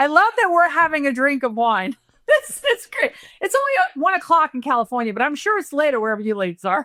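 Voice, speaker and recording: A woman with an East Coast accent speaks very fast in a raised, projected, high-pitched voice with a bright, sharp tone. Her pitch swings very widely, and the sound is dry and close with no echo. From Rhode Island, New England. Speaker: wealth manager and vineyard owner, reality show contestant. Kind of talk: casual chat. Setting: podcast.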